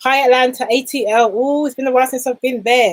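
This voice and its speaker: Fairly quick speech from a woman with a London accent, the sound dry and close with no echo. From London, England. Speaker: business coach. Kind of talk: live stream talk. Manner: animated.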